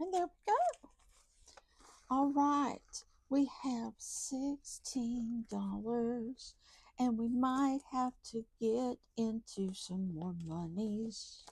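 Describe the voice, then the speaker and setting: Speaking at a very slow pace in a Southern US accent, a woman uses a high pitch and lively intonation. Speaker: budgeting YouTuber. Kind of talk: casual vlog talk to viewers. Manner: counting aloud, chatty.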